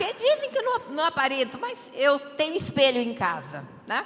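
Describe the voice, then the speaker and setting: Against noticeable background noise, a woman projects her high-pitched voice loudly, with very wide pitch swings. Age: 70s. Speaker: audience member asking a question. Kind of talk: audience question at a political event.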